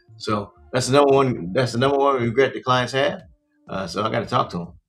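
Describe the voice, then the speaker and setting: Music plays in the background as a man with an American accent talks at a very fast pace. His pitch variation is ordinary. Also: medium pitch for a man. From US, Baltimore, Maryland. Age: 60s. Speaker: podcast host, financial advisor. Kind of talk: podcast monologue. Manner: casual, repetitive; halting.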